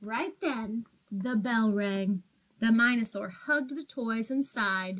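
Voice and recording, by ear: Someone reads aloud in a natural voice, the pitch shifting in a normal way.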